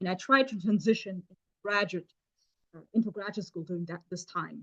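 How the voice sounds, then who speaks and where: At a fairly quick pace, a woman with a German accent speaks with ordinary pitch variation. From Germany, Stuttgart. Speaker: chemist. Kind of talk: seminar talk. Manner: halting, many fillers.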